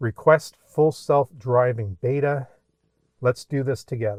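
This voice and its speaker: Dry, close sound with no echo on a man's voice, medium in pitch, with ordinary pitch variation. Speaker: car YouTuber. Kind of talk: casual vlog walkthrough. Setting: in a car. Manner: trembling, excited.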